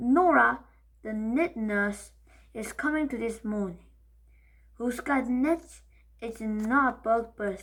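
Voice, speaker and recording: A woman growls in a put-on character voice at a fairly high pitch, with ordinary pitch variation, a fairly slow pace and long, frequent pauses. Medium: read story. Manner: stern, growling, commanding.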